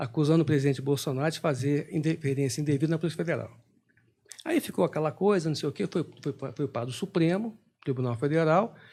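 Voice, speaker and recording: A man speaks very fast with a dark, mellow tone and fairly high pitch. He sounds somewhat breathy, with ordinary pitch variation. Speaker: intelligence expert, retired army officer. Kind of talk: podcast interview.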